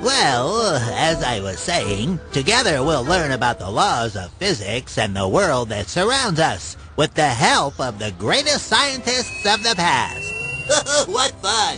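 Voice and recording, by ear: With clear music in the background, a man does a cartoonish character voice at a fairly high pitch and a fairly slow pace.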